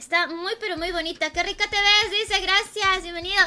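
A woman speaks at a moderate pace in an extremely high pitch, her voice raised and projected. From Peru. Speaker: gaming streamer. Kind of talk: live gaming stream chat. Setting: at home alone. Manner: animated. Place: home room.

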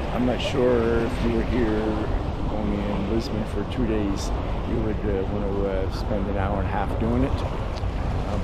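A man keeps a fairly slow pace against loud background noise, the sound dry with no echo. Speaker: travel vlogger. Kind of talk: casual vlog chat. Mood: relaxed, mildly underwhelmed. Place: waterside. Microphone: phone near.

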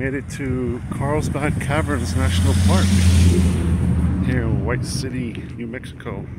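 At a moderate pace, a man speaks in a dry sound with no echo, over loud background noise. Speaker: travel vlogger. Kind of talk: casual vlog chat. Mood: relaxed, upbeat. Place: street. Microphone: phone near.

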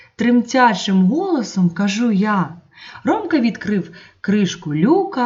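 The intonation moves in a lively way. It comes in an unforced reading voice.

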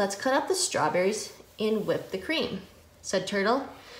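Lively intonation carries an unforced reading voice.

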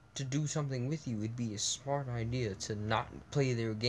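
Ordinary pitch variation from an unforced reading voice.

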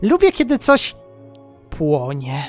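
Over clear background music, a man uses a put-on character voice at a fairly high pitch and a fairly slow pace. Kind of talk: comic character voice. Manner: boastful, childish, gleeful.

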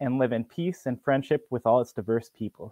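A man with a Canadian accent, ordinary pitch variation, dry sound with no echo, and a quiet background. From Ontario, Canada. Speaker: executive director of a provincial agriculture education group, co-host. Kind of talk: live educational broadcast for school classes. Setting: video call. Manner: enthusiastic. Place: home room. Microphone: video call.

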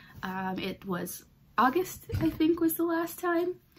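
A woman speaks at a very slow pace with lively intonation. Her voice is somewhat breathy, with light background noise. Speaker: knitting podcast host. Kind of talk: casual vlog chat. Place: home room. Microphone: phone near.

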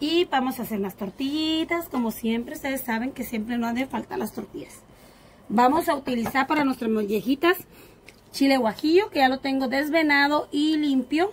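A high-pitched woman at a moderate pace, ordinary pitch variation, and light background noise. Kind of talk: cooking tutorial. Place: garden.

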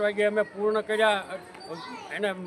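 Noticeable background noise around a high-pitched male voice. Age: 70s. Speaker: farmer leader, activist. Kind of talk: protest statement to press. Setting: outdoors. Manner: animated.

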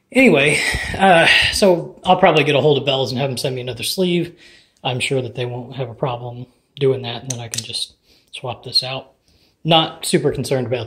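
At a fairly quick pace, a man speaks with ordinary pitch variation and big swings in loudness. Light background noise is present. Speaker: home lifter reviewing equipment. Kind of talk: product review commentary. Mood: casual, mildly critical. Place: gym. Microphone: phone near.

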